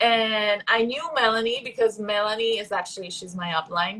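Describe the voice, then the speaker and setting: The voice has a bright, sharp tone and a Puerto Rican accent, moving at a fairly slow pace with ordinary pitch variation. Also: woman. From Puerto Rico. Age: 20s. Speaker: professional volleyball player. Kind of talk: casual chat. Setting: livestream.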